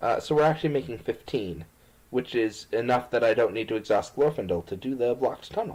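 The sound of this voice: The recording holds an unforced reading voice.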